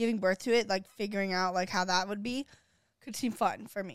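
A woman speaks at a moderate pace in a fairly high pitch with a plain, everyday voice, on a very clean recording with a silent background. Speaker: podcast co-host. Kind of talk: casual chat.

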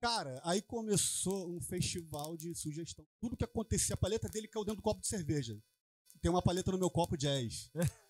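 With a high pitch and lively intonation, a man talks at a fairly quick pace in a dry, close sound with no echo. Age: 40s. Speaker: bassist. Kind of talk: casual interview chat.

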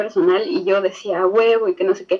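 Against noticeable background noise, a woman speaks with lively intonation at a fairly slow pace and a fairly high pitch. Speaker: university student. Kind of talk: casual chat. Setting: video call.

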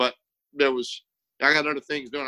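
The speech comes very fast in a Texan accent with a bright, sharp tone. The sound is dry and close, with no echo. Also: man. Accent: Texan American. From South Texas. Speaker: war veteran and former policeman. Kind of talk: interview. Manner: halting.

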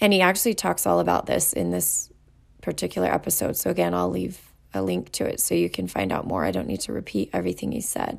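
In a very clean recording with a silent background, a woman talks at a very fast pace.

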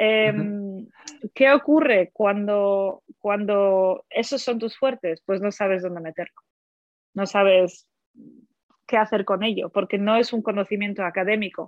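A woman speaks at a very slow pace with a medium pitch and ordinary pitch variation. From Poland, then Germany. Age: 30s. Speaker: language teacher and editor. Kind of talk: interview. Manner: halting, with repetitions.

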